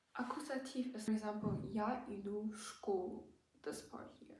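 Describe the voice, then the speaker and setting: Amid audible room echo, a woman speaks at a fairly slow pace with a fairly high pitch and ordinary pitch variation. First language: German. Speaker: language-learning YouTuber. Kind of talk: tutorial. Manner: hesitant, many fillers.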